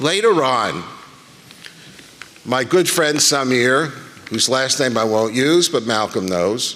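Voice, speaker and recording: A man with a medium pitch talks at a very slow pace with lively intonation and long, frequent pauses. Audible room echo and noticeable background noise fill the recording. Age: 70s. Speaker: rabbi. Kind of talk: conference speech. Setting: stage with audience.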